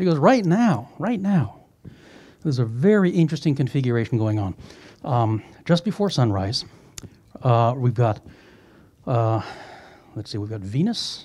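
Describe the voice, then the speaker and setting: Over a quiet background, a man with a dark, mellow, somewhat breathy voice speaks at a moderate pace with very wide pitch swings and long, frequent pauses. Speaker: planetarium staff host. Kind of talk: event introduction and moderation. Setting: stage with audience. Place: hall.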